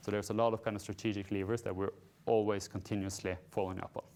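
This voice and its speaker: Fairly low in pitch and fairly even in intonation, a man talks while music plays in the background. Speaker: company CEO presenting. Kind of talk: investor presentation. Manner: fast.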